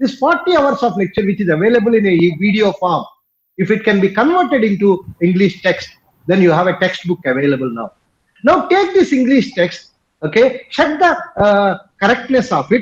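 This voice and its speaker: A man with a Telugu accent talks at a fairly quick pace in a high pitch. His pitch swings are very wide. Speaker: professor and institute director. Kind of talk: conference talk. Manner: hesitant, frequent fillers.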